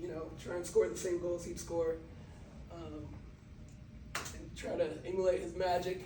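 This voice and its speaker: In a room with audible echo and noticeable background noise, a man speaks with an American accent. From Brazil. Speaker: motivational speaker. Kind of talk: motivational talk. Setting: talk to a sports team.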